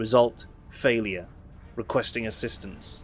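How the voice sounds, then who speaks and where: A man's put-on character voice, raspy and medium in pitch, at a moderate pace against clear background noise. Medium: game stream. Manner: formal, mechanical phrasing.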